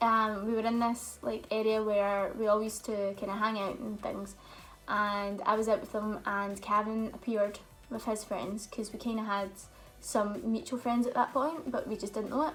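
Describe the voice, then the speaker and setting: Over music in the background, a woman with a Scottish accent speaks at a moderate pace, her fairly high voice keeping a fairly even intonation. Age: 20s. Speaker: YouTuber. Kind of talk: casual chat.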